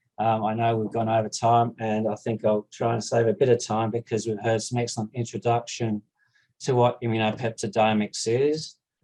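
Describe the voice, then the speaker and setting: A man with an Australian accent, a medium pitch, a dark, mellow tone and a moderate pace. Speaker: scientist, proteomics researcher. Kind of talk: conference talk.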